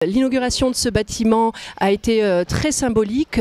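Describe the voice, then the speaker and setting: Noticeable background noise sits behind a woman speaking at a fairly slow pace. Her pitch varies in an ordinary way. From France. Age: 30s. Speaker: translator and elected representative of French expatriates. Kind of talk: interview answers. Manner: hesitant, many filler sounds.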